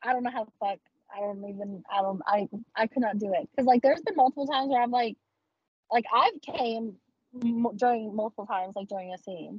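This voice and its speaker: Using an ordinary speaking voice with an American accent, a woman speaks at a fairly high pitch and a fairly quick pace, her pitch varying in an ordinary way. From Texas. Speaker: adult content creator. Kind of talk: casual interview chat. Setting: video call.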